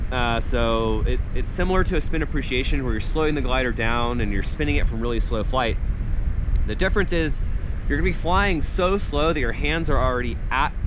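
Over noticeable background noise, a man talks at a very even loudness. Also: fairly quick pace. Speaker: paragliding coach. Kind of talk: tutorial. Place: open country. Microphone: phone near.

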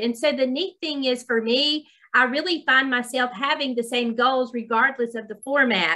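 Speaking at a moderate pace, a woman with a Southern US accent has a high pitch and ordinary pitch variation. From US South. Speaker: college dean. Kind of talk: webinar presentation. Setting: video call. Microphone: video call.

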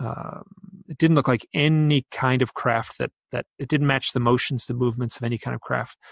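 Recorded dry and close with no echo, a man speaks somewhat breathily with fairly even intonation. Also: medium pitch for a man, moderate pace. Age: 50s. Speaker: author and UFO researcher. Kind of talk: interview.

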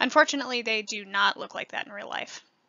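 An unremarkable speaking voice, this woman with an American accent talks at a fairly quick pace in a fairly high pitch. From rural northwestern Illinois, US Midwest. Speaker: art student. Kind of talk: scripted presentation.

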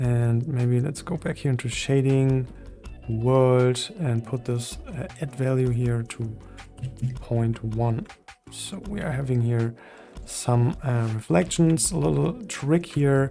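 Faint music plays in the background as a man speaks at a very slow pace with ordinary pitch variation. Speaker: 3D software tutor. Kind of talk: tutorial.

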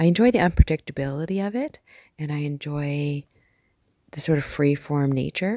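Soft-spoken and calm, a woman with a very deep, low pitch and a dark, mellow tone talks at a moderate pace with ordinary pitch variation, in a dry sound with no echo against a quiet background. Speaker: amateur artist. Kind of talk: ASMR art collection tour. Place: home room. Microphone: phone near.

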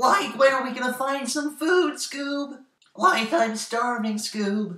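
In a put-on character voice, a man talks at a fairly slow pace with an extremely high pitch and a slight echo. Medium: comedy sketch. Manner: whiny, drawling.

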